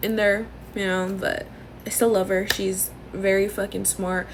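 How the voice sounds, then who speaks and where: A loud woman with an American accent, medium pitch, moderate pace. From Los Angeles area, Norwalk. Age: 20s. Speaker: content creator. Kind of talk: casual chat. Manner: wheezing laugh.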